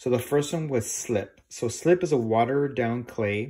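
Ordinary pitch variation from a man's voice. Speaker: art teacher. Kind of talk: tutorial. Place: classroom. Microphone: phone near.

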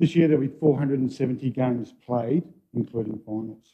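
A man against a quiet background. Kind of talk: formal presentation to council. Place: hall.

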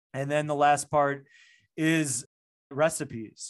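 A man with an American accent speaks at a fairly slow pace. His pitch is fairly high, and the background is quiet. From US, Chicago. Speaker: functional medicine doctor; podcast guest. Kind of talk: interview. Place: home room. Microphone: studio mic.

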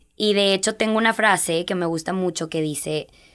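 A woman's fairly low voice at a moderate pace, with ordinary pitch variation and a quiet background. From Texas-Coahuila border. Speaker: fitness instructor and bereaved mother; podcast guest. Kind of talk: interview testimony. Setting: studio. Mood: emotional, grieving but hopeful. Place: studio. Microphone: studio mic.

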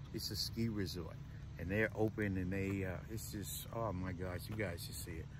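Noticeable background noise sits behind a man's somewhat breathy voice. His intonation is fairly even, and the sound is dry without echo. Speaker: van life vlogger. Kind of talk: casual vlog chat. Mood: cheerful, grateful. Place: car. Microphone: phone near.

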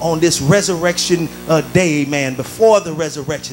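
A man speaks with music in the background. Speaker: preacher. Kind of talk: sermon. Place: church. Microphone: handheld.

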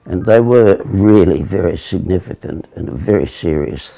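Lively intonation carries this fairly slow delivery against a quiet background. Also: man. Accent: Australian. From Australia. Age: 80s+. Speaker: navy veteran. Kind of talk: interview answer. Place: home room.

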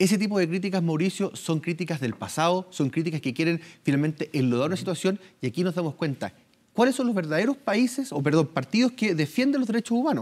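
A man's high-pitched voice at a very fast pace, with very wide pitch swings. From Chile. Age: 30s. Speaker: politician. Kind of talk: news interview. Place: studio.

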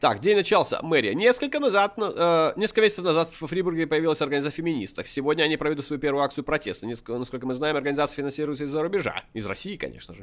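A man with a fairly high voice and vocal fry rattles along very fast with hardly any pauses, his intonation lively and his loudness swinging widely. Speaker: gaming video creator. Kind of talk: gameplay commentary. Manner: animated.

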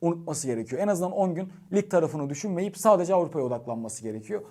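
A man talks very fast with lively intonation. His voice is high-pitched with a dark, mellow tone. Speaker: football YouTuber and sports news editor. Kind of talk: match preview commentary to camera.

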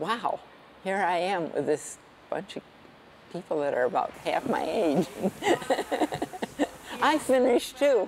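A woman speaks at a fairly slow pace with long, frequent pauses. Her pitch swings very wide, over light background noise. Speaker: senior CrossFit athlete. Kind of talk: interview answer. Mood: cheerful, proud. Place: gym. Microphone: lapel.

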